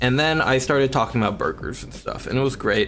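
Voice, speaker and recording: Someone speaks with an American accent. Music plays in the background. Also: man. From Washington State, USA.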